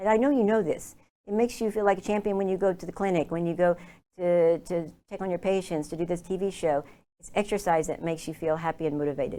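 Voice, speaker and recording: Speaking at a very fast pace with an Oklahoma accent, a woman has a fairly low pitch, ordinary pitch variation and a dark, mellow tone on a very clean recording with a silent background. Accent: American, Oklahoma. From Oklahoma, US. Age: 60s. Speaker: lifestyle consultant. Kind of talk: interview.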